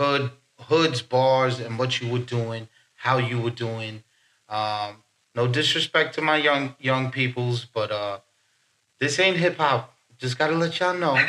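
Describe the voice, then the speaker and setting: A man with a bright, sharp tone talks at medium pitch and a fairly slow pace, leaving long, frequent pauses. His pitch varies in an ordinary way, and the recording is very clean with a silent background. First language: French and Haitian Creole. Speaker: poet. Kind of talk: casual chat. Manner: halting.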